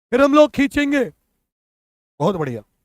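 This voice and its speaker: Animated in tone, a man speaks at an extremely high pitch. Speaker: online exam coaching teacher. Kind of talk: live online class. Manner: repetitive, animated.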